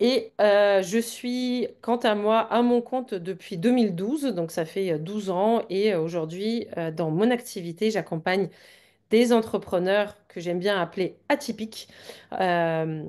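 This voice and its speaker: A woman talks at a very slow pace, the background around her quiet. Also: medium pitch for a woman, ordinary pitch variation. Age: 40s. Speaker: business coach for wellness entrepreneurs. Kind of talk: live webinar interview. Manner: hesitant, many fillers.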